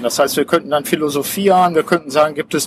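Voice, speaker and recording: A man is heard in a dry, close sound with no echo, with noticeable background noise around him. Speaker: podcast host and coach. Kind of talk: interview. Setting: outdoors on a public square.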